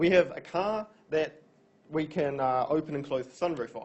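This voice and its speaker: The pitch of this male speaker is fairly high. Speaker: university lecturer. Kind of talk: lecture. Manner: fast.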